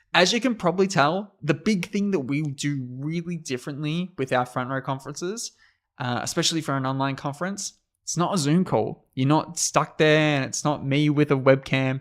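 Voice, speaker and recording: In a strong Australian accent, a man speaks at a moderate pace and a fairly high pitch with ordinary variation. The recording is very clean, with a silent background. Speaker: conference host. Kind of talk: livestream hosting. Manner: energetic, animated.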